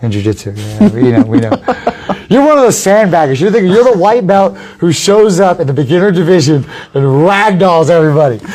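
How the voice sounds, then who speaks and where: A loud, high-pitched man at a very fast pace, with very wide pitch swings and noticeable background noise. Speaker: podcast host and MMA fighter. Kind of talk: casual chat. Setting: live stream from a gym.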